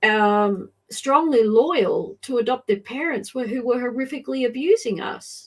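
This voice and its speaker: Against a quiet background, a woman with an Australian accent speaks at a moderate pace with hardly any pauses, using a high pitch and lively intonation. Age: 60s. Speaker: adoption advocate. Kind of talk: interview testimony.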